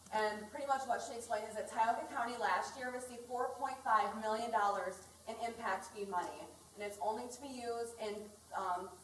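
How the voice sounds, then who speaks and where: The speech moves at a fairly quick pace with fairly even intonation, with audible room echo and noticeable background noise. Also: woman, fairly high pitch for a woman. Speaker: community organizer, recovering addict. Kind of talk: public community meeting remarks. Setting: community meeting in school hall. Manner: loud.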